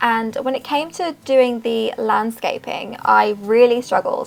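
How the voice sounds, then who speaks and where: Noticeable background noise is present. A woman speaks at a fairly slow pace. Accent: London. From Southwest London, England. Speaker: sims speed build youtuber. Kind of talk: casual voice-over chat.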